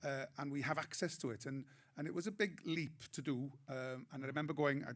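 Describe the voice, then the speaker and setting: A man in a north Welsh accent, fairly high in pitch with ordinary pitch variation, at a fairly quick pace. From Wales, Anglesey. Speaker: comedian. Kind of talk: panel discussion.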